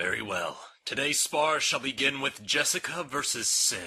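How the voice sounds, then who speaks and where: This is a put-on character voice delivered at a moderate pace. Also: man. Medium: audio drama. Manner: formal, clipped.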